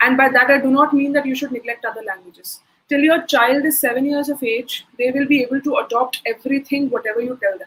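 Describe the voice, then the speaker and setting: In an Indian accent, a woman speaks very fast in a high voice with fairly even intonation. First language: Hindi. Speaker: soft skills trainer. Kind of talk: webinar Q&A.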